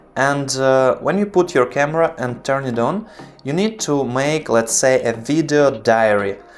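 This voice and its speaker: A man with a non-native accent, fairly high pitch for a man, ordinary pitch variation and a fairly slow pace, over noticeable background noise. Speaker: video production tutor. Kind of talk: tutorial. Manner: halting, pauses to find words.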